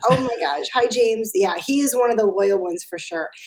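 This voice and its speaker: A woman has a plain, everyday voice with an American accent, pitched fairly high. She talks at a moderate pace with ordinary pitch variation. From Chicago. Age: 50s. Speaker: fitness trainer. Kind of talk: casual interview. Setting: video call from home.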